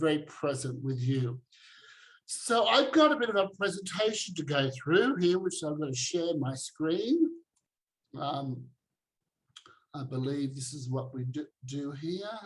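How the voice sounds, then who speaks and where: Fairly high-pitched and somewhat breathy, a man speaks with an Australian accent. His pace is fairly slow, with long, frequent pauses. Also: ordinary pitch variation. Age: 60s. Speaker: activist and former preacher. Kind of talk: online talk presentation.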